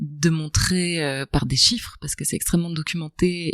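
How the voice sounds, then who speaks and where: The woman's pitch is very deep and low. Her voice sounds dry and close, without any echo. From Belgium, province between Brussels and Charleroi. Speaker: author, journalist and film director. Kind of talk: podcast interview answer. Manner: articulate, literary phrasing.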